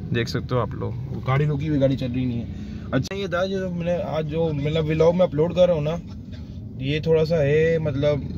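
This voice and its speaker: Over noticeable background noise, a man with a fairly high pitch speaks at a moderate pace with hardly any pauses and ordinary pitch variation, the sound dry with no echo. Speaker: vlogger. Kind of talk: casual vlog. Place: car. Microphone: phone near.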